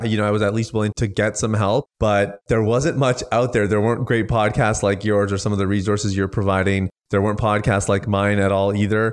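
A man with a Canadian accent and an unremarkable speaking voice, fairly low-pitched and fairly quick, in a quiet background. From Canada (Toronto), Indian immigrant parents. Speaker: recovery coach and speaker. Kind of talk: podcast interview.

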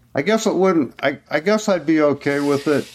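A man talks at a moderate pace. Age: 70s. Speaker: retired teacher with type 1 diabetes, runner. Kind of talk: casual interview. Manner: hesitant, with fillers and restarts.

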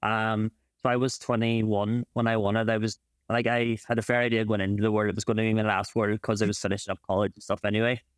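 Speaking at a very fast pace in an Ulster accent, a man keeps a monotone, flat intonation at a medium pitch, recorded very cleanly against a silent background with a dry, close sound and no echo. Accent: Ulster Irish. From Ireland, County Donegal. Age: 20s. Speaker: champion Irish dancer and physiotherapist. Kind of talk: casual interview.

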